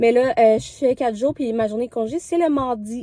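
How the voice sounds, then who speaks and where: A woman's high voice at a fairly quick pace, with ordinary pitch variation and a dry, close sound without echo. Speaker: vlogger. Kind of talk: casual vlog talk to camera. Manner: chatty, many filler hesitations.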